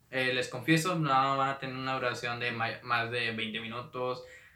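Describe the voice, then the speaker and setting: The speaker talks at a fairly slow pace with fairly even intonation, and room echo is audible. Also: man. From Mexico, Monterrey, Nuevo León. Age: 20s. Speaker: podcast host and entrepreneur. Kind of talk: solo podcast monologue. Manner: hesitant, many fillers.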